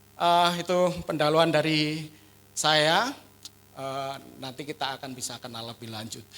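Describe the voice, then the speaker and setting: With a strong Javanese accent, a man speaks at a moderate pace in a fairly high pitch with a bright, sharp tone, ordinary pitch variation, big swings in loudness, and long, frequent pauses. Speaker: pastor. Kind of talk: sermon. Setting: church.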